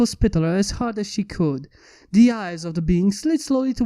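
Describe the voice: Someone does plain reading aloud, the intonation lively throughout.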